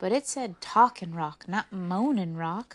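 Someone reads aloud in a natural voice.

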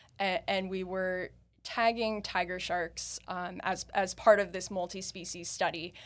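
An unremarkable speaking voice from a woman, medium in pitch, fairly slow and fairly even in intonation, on a very clean recording with a silent background. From US Northeast. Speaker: marine biologist. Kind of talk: interview. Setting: in-person studio interview.

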